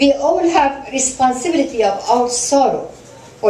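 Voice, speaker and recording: A woman with an Iranian accent speaks with lively intonation. Noticeable background noise runs underneath. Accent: Iranian (Persian). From southern Iran. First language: Persian. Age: 60s. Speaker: human rights activist and lawyer. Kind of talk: award acceptance speech. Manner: soft-spoken.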